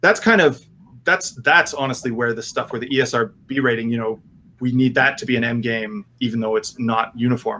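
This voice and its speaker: The voice moves at a fairly quick pace with a bright, sharp tone. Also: man. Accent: Canadian. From Canada. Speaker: game designer. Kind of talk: casual interview chat.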